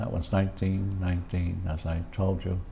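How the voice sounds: A man speaks at a moderate pace in a low voice with vocal fry. His pitch barely moves.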